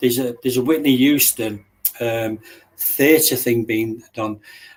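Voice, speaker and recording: An Englishman-style delivery: a man with an English accent, medium pitch, ordinary pitch variation and a moderate pace. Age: 60s. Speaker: martial artist and bodyguard. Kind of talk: casual interview chat.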